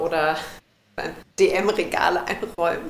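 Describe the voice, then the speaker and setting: Room echo can be heard around the voice. It belongs to a woman. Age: 30s. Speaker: coach for busy women, minimalism. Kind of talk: casual chat.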